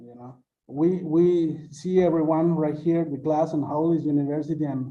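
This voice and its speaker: A man speaks at a fairly slow pace in a fairly high pitch, his dark, mellow tone held in a monotone, flat delivery. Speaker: university student. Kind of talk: casual chat. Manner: halting.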